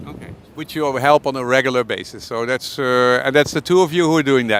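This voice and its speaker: With fairly even intonation and medium pitch, a man with an unremarkable speaking voice talks at a fairly quick pace. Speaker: interviewer. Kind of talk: interview questions. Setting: outdoors.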